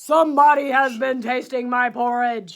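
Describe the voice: A man's put-on character voice, extremely high in pitch, at a moderate pace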